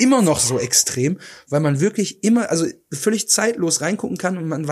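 At a fairly quick pace, a high-pitched man speaks with lively intonation on a very clean recording with a silent background. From Ruhr area, Germany. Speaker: podcast co-host. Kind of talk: casual chat.

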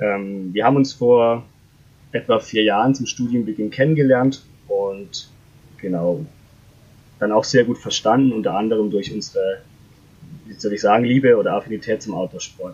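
Pausing long and often, a man at medium pitch speaks at a moderate pace with ordinary pitch variation and big swings in loudness. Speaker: startup founder. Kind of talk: interview. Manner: hesitant with many fillers.

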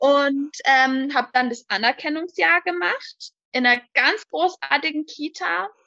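At a very slow pace, a woman uses a raised, projected voice, high in pitch with very wide pitch swings and a bright, sharp tone, in a dry, close sound with no echo. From Hochrhein, southern Baden-Württemberg near the Swiss border. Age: 20s. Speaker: daycare centre manager. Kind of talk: interview.

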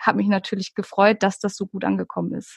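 A woman speaks at a moderate pace and medium pitch in an unremarkable speaking voice. The sound is dry and close, with no echo. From Hamburg, northern Germany. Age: 30s. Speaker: ASMR YouTuber. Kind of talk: casual interview.

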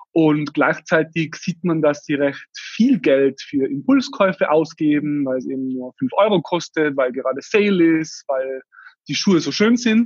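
The speaker uses a Tyrolean accent with lively intonation at a fairly slow pace. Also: man, fairly high pitch for a man. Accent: Tyrolean Austrian dialect. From Austria, Tyrol. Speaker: startup founder. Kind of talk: interview.

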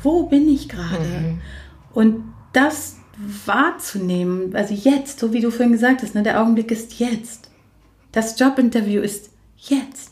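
With long, frequent pauses, a woman speaks at a fairly slow pace in a fairly high pitch with lively intonation. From Germany. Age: 40s. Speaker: coach and social worker. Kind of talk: casual chat. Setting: in a living room. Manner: moderate pace, neither hectic nor slow.

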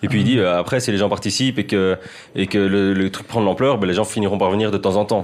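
A man with a fairly low voice rushes along at a very fast pace, his intonation fairly even, against noticeable background noise. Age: 20s. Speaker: football journalist. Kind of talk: casual chat.

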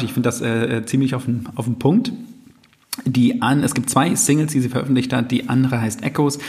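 Over noticeable background noise, a man speaks at a medium pitch and a moderate pace. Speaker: music podcast host. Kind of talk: casual chat. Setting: living room in a flat. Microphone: poor sound, echoey room.

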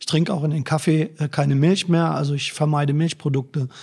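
This man's voice sits at a fairly high pitch, with a dark, mellow tone and ordinary pitch variation. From northern Germany, Braunschweig. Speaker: politician, election candidate. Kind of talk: interview. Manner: hesitant, many filler sounds.

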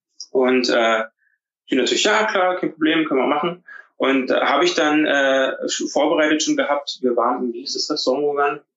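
Moderately paced male speech, fairly high in pitch, with ordinary pitch variation and an unremarkable speaking voice. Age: 30s. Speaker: business photographer. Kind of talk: casual interview.

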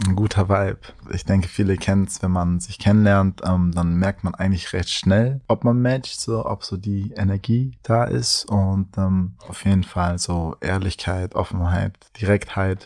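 His pitch is very deep and low. The man's voice shows ordinary pitch variation. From Germany, Düsseldorf. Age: 20s. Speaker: artist, blind date contestant. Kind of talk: casual chat.

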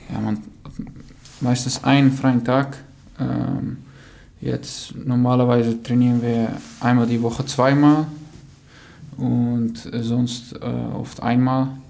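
A man speaks with a Dutch accent at a very slow pace, using a medium pitch and monotone, flat intonation with long, frequent pauses. Noticeable background noise and audible room echo fill the recording. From Netherlands. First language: Dutch (speaking German). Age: 20s. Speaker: professional footballer. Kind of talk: interview answers. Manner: halting, many fillers.

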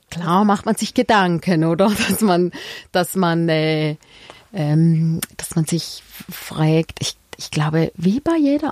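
Against noticeable background noise, a woman of fairly low pitch speaks with ordinary pitch variation in dry, close sound with no echo. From Switzerland, Frauenfeld (Thurgau). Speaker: midwife. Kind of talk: interview. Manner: halting, many fillers.

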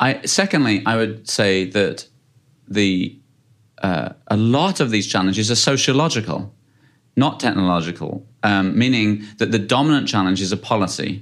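A man with a British accent talks at a moderate pace and a fairly low pitch. His pitch variation is ordinary and his loudness very even. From UK. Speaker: space company founder and CEO. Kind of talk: interview. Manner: halting with many fillers.

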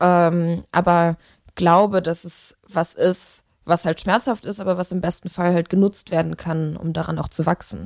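A woman speaks at a fairly slow pace in a plain, everyday voice, her pitch fairly low and her intonation fairly even. The recording is very clean with a silent background, and the sound is dry and close with no echo. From Germany, Leverkusen (Rhineland). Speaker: musician. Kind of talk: casual interview.

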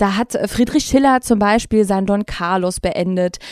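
In a very clean recording with a silent background, a woman with a normal speaking voice talks at a moderate pace, her fairly high pitch showing ordinary variation and her sound dry and close with no echo. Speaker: podcast host. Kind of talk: casual chat.

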